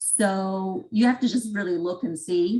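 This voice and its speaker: Vocal fry in a woman's voice, her pitch varying in an ordinary way. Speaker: tax presenter. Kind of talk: webinar presentation.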